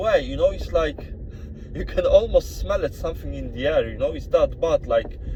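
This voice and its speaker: A man with a strong Polish accent is heard against noticeable background noise. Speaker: vlogger. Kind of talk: casual vlog monologue. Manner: halting, many fillers and repetitions.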